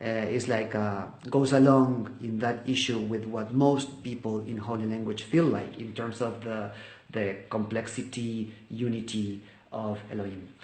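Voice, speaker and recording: A man with a Spanish accent talks at a fairly slow pace and medium pitch in a monotone, flat way. Audible room echo and noticeable background noise surround him. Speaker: volunteer video teacher. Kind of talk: testimony. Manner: halting.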